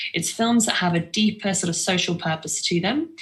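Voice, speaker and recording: A woman with a plain, everyday voice, fairly low pitch and ordinary pitch variation. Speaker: film distribution company founder. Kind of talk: online talk.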